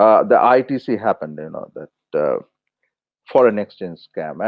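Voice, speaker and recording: This man talks in a Bengali accent. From India, West Bengal. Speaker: journalist, editorial consultant. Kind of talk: interview conversation. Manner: halting, many fillers and restarts.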